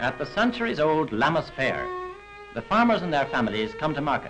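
With clear music in the background, a man of fairly high pitch talks at a fairly quick pace, his pitch swinging very widely. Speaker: documentary narrator. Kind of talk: documentary film narration. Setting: vintage 1940s film recording. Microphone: old recording.

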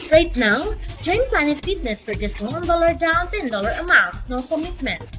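Over music in the background, a woman with an extremely high pitch talks at a moderate pace with very wide pitch swings. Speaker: voice actor. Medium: voice reel.

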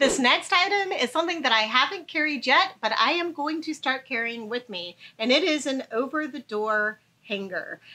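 A bright, sharp, raised and projected voice with very wide pitch swings. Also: woman, high pitch for a woman, moderate pace, hardly any pauses. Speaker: travel vlogger. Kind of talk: casual tutorial.

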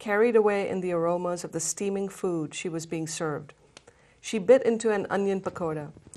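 The delivery is plain reading aloud. Pitch varies in an ordinary way.

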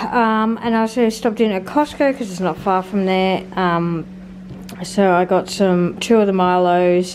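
Over light background noise, a woman talks fairly slowly with fairly even intonation. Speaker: family vlogger. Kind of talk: casual vlog chat. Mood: relaxed, slightly laughing. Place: kitchen. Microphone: phone near.

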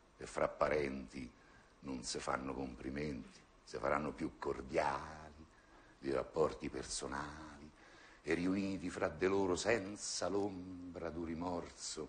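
A man talks at a very slow pace. His pitch is very deep and low. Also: ordinary pitch variation. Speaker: actor. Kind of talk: poetry reading. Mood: ironic, bitter, theatrical. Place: stage.

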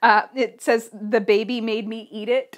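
The woman talks at a fairly slow pace, and the background stays quiet. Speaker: quilting podcast host. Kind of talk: casual chat. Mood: cheerful, chatty. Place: home room.

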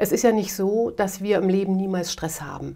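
The woman talks at a moderate pace in a monotone, with flat intonation. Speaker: guest. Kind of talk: interview answer. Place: home room.

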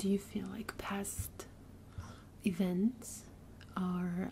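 Soft-spoken and gentle in tone, the voice keeps fairly even intonation. There is light background noise. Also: woman. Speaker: streamer doing a therapy-style session. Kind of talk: calm guided exercise, role-play counseling. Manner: soft, gentle ASMR speaking voice. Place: home room.

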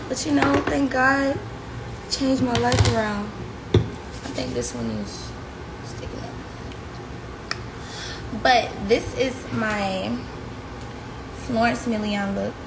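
Speaking at a very slow pace with long, frequent pauses, a woman is heard over noticeable background noise. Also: big swings in loudness. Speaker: livestream host. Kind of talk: casual vlog chat. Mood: relaxed, joking. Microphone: phone near.

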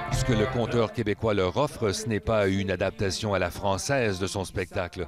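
There is noticeable background noise. A man with a fairly low pitch talks at a moderate pace. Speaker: reporter. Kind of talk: TV news report narration.

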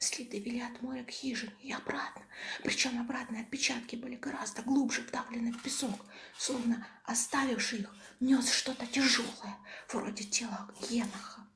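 Amid noticeable background noise, a soft-spoken woman is whispering at a moderate pace. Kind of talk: audiobook reading of a horror story, ASMR style. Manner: whispered, soft, relaxing.

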